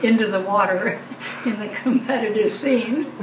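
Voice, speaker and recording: A woman talks at a fairly high pitch over noticeable background noise. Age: 80s+. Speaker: retired psychiatrist and masters swimmer. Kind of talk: interview answer.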